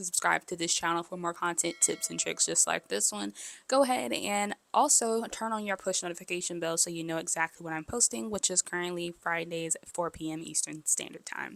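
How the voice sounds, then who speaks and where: In a very clean recording with a silent background, a soft-spoken woman with a fairly low pitch talks at a fairly quick pace with lively intonation. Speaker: content creator. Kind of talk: tutorial. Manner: casual.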